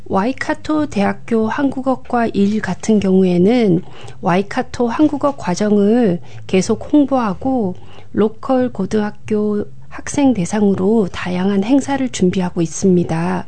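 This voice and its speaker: A woman's very slow speech at very even loudness, with noticeable background noise. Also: medium pitch for a woman, lively intonation. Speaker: community coordinator and Korean language lecturer. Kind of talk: radio interview. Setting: studio.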